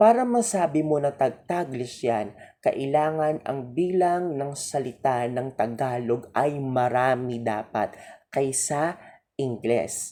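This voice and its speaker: Speech at a very slow pace on a very clean recording with a silent background. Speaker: teacher. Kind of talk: lecture.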